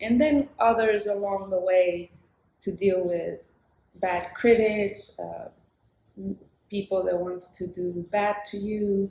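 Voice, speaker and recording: A woman with a medium-pitched, dark and mellow tone speaks at a fairly slow pace with fairly even intonation. Her loudness swings widely, and she pauses often and at length. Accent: Spanish. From southern Chile. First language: Spanish. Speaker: singer-songwriter. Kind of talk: interview conversation. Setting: live recording in New York City with street sounds.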